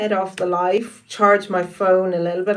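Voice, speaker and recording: A woman speaks in an Irish accent at a medium pitch. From Ireland, Wicklow. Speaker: live streamer. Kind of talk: casual live-stream chat.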